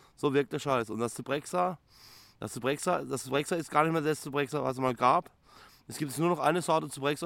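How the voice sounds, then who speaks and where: On a very clean recording with a silent background, a man speaks very fast with vocal fry and ordinary pitch variation. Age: 30s. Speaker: psychiatric patient. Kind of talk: interview testimony. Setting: psychiatric clinic. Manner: halting, repeats words.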